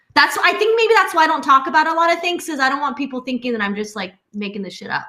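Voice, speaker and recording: A woman talks very fast in a high, raised, projected voice with an animated tone. Her pitch swings very widely and her loudness swings a lot. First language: Spanish. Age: 40s. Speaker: podcast guest. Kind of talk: casual chat. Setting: live stream from home.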